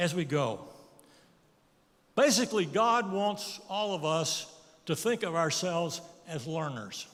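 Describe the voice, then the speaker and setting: A man's fairly slow speech with lively intonation and audible room echo. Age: 80s+. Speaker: guest preacher. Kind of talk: sermon.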